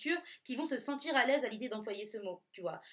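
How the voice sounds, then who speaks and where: A woman speaks in a normal speaking voice at a fairly quick pace, with lively intonation. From Nice, southern France. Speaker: podcast co-host. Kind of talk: casual chat.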